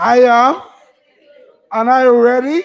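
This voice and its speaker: A man talks in an animated tone. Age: 60s. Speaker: conference moderator. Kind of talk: audience Q&A. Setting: stage with audience.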